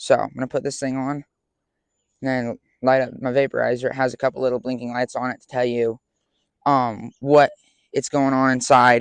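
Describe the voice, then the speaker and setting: Dry and close with no echo, a man's medium-pitched voice runs at a fairly quick pace in monotone, flat intonation, broken by long, frequent pauses. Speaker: beekeeper. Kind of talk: tutorial. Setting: outdoors. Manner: casual, with filler ums.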